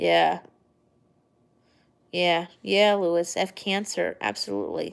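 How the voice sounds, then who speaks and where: Very slow speech with long, frequent pauses, in an American accent. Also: woman. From New York, Long Island. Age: 30s. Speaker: livestream vlogger. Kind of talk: casual live chat. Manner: rambling, hesitant with fillers.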